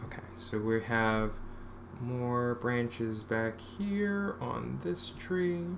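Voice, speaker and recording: Soft-spoken and very slow, a man talks amid audible room echo. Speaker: comic artist streaming work. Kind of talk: casual live-stream talk while drawing. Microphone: too quiet for captioner, mic dropping.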